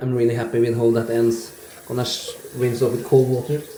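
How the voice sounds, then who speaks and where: Dark, mellow tone, somewhat breathy and relaxed, at a moderate pace with audible room echo. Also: man. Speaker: wet shaving YouTuber. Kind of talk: casual product review vlog. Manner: quiet, relaxed.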